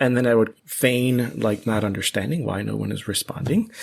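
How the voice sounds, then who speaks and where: The recording is very clean, with a silent background. A plain, everyday voice talks at a fairly quick pace. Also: man. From US, Miami, Florida (Cuban family). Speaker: mathematics professor. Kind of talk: podcast interview.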